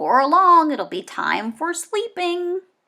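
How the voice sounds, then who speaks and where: Doing a put-on character voice, a woman drawls at a fairly slow pace in a croaky, extremely high pitch. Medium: read story. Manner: drawling, croaking "yerp".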